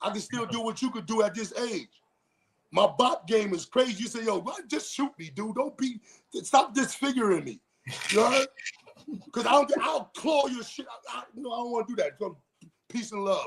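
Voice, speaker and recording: A man with an extremely high pitch and ordinary pitch variation talks at a moderate pace, with big swings in loudness and long, frequent pauses. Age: 50s. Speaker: former prisoner, gang veteran. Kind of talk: casual interview. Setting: livestream. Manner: animated.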